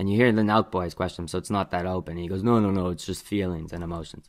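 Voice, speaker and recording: The man's voice sits at a fairly low pitch with fairly even intonation. Behind him the background is quiet. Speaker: reaction commentator. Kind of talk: commentary. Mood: mocking, skeptical. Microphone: studio mic.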